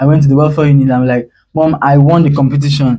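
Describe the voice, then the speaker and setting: Fairly high-pitched for a man, this somewhat breathy, dark and mellow voice moves at a fairly quick pace with monotone, flat intonation. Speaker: spoken word poet. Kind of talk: interview.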